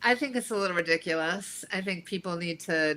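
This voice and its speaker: The voice is loud, with a bright, sharp tone. Its pitch varies in an ordinary way. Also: woman. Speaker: podcast guest, performer. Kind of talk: casual interview chat.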